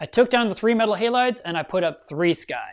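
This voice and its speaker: The speech comes at a fairly quick tempo, recorded very cleanly against a silent background. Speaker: reef aquarium youtuber. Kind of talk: live stream chat. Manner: loud.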